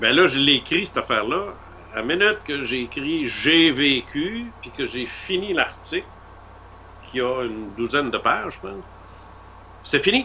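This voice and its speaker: Speaking with a Quebec accent, a man talks at a fairly slow pace and a fairly high pitch, taking long, frequent pauses. His pitch swings very widely, and his loudness shifts in big swings. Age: 60s. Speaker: author. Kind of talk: interview. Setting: radio show. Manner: halting.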